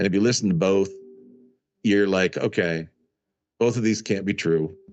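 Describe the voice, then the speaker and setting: Fairly low-pitched male voice at a moderate pace, with fairly even intonation and very even loudness. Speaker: concert video production company owner and author. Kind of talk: interview conversation.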